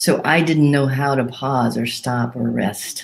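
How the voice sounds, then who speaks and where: A woman with vocal fry speaks at a moderate pace. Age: 60s. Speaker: pastor. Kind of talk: sermon.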